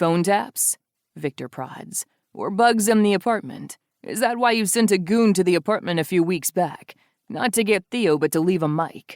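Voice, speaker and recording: A put-on, growling character voice, female-sounding, at a middle pitch and moderate pace, in a very clean recording with a silent background. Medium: read story. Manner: controlled, tense.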